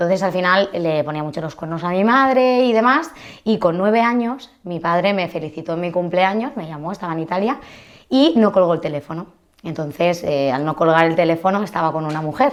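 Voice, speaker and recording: With a normal speaking voice and a fairly low pitch, a woman talks at a fairly quick pace with lively intonation. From Spain, Alicante province (Crevillente/Elche). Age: 30s. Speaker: mortgage broker. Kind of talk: casual chat.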